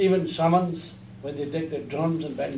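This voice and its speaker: In a room with audible echo, a man talks at a moderate pace. His pitch is fairly high, with ordinary pitch variation. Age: 60s. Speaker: Buddhist teacher. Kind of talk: lecture. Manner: halting.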